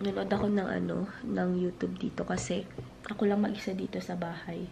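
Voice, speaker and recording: A woman at a moderate pace, with audible room echo. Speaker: family vlogger. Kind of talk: casual vlog talk. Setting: at home.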